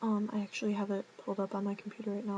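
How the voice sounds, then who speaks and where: A woman speaks softly at a medium pitch. Her intonation is monotone and flat. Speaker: vlogger. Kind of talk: casual vlog talk. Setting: dorm room at night. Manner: soft-spoken.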